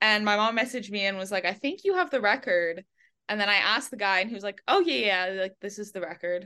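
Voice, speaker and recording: A woman's medium-pitched voice, bright and sharp in tone, with ordinary pitch variation, a very fast pace and a quiet background. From Quebec, English-speaking west Montreal. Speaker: college athlete, diver. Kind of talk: casual interview.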